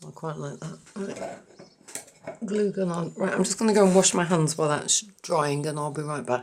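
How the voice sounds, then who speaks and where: Noticeable background noise is present behind the voice. A woman speaks at a moderate pace with a fairly low pitch. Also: ordinary pitch variation. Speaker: craft video creator. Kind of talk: tutorial. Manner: casual, thinking aloud.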